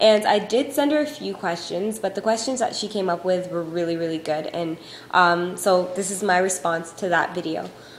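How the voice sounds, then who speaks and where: A woman's medium-pitched voice, with ordinary pitch variation, comes through over noticeable background noise. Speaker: YouTube vlogger. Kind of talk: casual vlog. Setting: home recording on iPod. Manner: fast.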